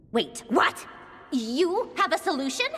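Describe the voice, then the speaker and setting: A female-sounding, put-on character voice, high in pitch and fairly slow. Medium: video game. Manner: brusque, skeptical.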